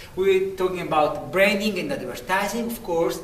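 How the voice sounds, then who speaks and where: With a strong Italian accent, a man talks at a fairly quick pace and high pitch, with ordinary pitch variation. Noticeable background noise and audible room echo surround him. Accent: thick Italian. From Italy. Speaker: lecturer, sports marketing. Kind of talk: sample lecture presentation. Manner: halting, with false starts.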